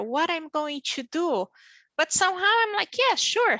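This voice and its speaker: Delivered with a Brazilian Portuguese accent, the raised, projected voice has a bright, sharp tone, a dry, close sound with no echo and a quiet background. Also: woman. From Brazil, small town in the south. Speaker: physician and pharmaceutical industry leader. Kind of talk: career panel interview. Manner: halting, with many fillers.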